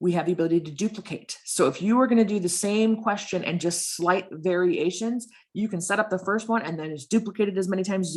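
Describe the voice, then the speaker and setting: Ordinary pitch variation marks this woman's voice. She speaks at a very fast pace. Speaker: librarian webinar presenter. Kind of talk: webinar tutorial.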